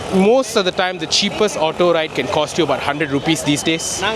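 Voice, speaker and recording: Talking very fast with ordinary pitch variation, a man with a fairly high voice is heard over noticeable background noise. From Malaysia. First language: Tamil. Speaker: travel vlogger. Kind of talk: travel vlog narration. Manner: casual.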